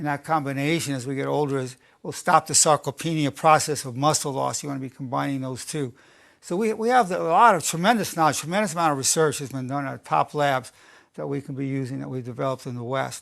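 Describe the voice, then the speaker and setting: Against a quiet background, a man with an American accent talks very fast at a fairly high pitch, with ordinary pitch variation and big swings in loudness. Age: 70s. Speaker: clinical psychologist. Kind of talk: lecture.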